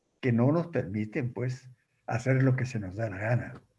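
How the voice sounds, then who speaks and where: A man's voice comes across dark, mellow and somewhat breathy. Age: 80s+. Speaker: writer. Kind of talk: talk with audience questions.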